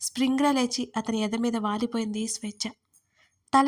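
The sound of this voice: Quiet background, an unforced reading voice, and fairly even intonation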